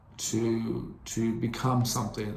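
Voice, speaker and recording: A man speaks very slowly at a medium pitch, his intonation monotone and flat. Audible room echo surrounds the voice. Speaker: podcast host. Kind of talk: solo monologue podcast. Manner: halting.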